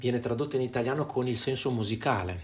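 A somewhat breathy man's voice at a medium pitch. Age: 40s. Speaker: music teacher. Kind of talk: tutorial. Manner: hesitant, many filler sounds.

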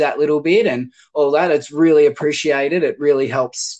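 Over a quiet background, a man talks at a moderate pace in a fairly high pitch. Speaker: podcast host. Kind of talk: scripted narration; casual chat.

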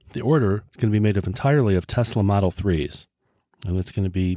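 A man with an American accent speaks at a fairly quick pace in a fairly low pitch, his dark, mellow tone carrying ordinary pitch variation on a very clean recording with a silent background and a dry, close sound with no echo. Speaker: podcast host. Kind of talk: scripted podcast monologue.

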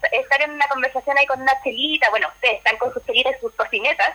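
Over noticeable background noise, a woman with a Chilean accent projects a raised voice at a very fast pace with lively intonation. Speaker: podcast listener. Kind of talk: casual chat.

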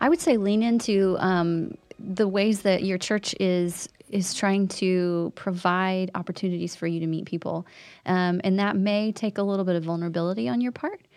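A woman's unremarkable speaking voice at medium pitch, with ordinary pitch variation and a moderate pace, in a very clean recording with a silent background. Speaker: church staff member. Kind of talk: casual chat about a sermon.

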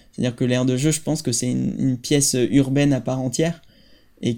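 Recorded very cleanly against a silent background, a man speaks at medium pitch and a moderate pace. His tone is dark and mellow, his intonation flat and monotone. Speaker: architect and playground designer. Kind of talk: interview. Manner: halting.

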